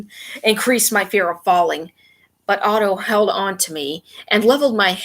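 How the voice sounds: The speaker uses a natural reading voice. The background is quiet.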